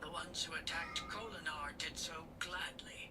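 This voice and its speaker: A whispered, put-on character voice at a moderate pace over loud background noise. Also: man. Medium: read story. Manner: commanding, coldly patient.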